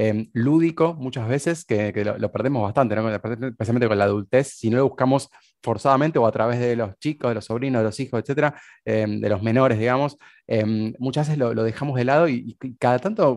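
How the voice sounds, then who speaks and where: Speaking with a Rioplatense accent, a man talks at a fairly quick pace and medium pitch. His pitch varies in an ordinary way over a quiet background. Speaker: podcast host. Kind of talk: interview.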